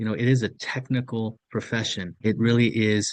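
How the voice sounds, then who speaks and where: Against a quiet background, a man with an American accent and a plain, everyday voice speaks at medium pitch and a moderate pace with fairly even intonation. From US, near Mexican border. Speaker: podcast co-host. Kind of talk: podcast interview.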